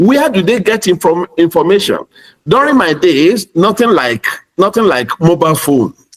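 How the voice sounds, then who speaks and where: A man with a Nigerian accent speaks at a moderate pace in a high voice, his pitch swinging very widely while his loudness stays very even, in a dry, close recording with no echo. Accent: Nigerian (Yoruba) English. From Nigeria (Yoruba). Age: 60s. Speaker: pastor and educator. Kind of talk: panel discussion.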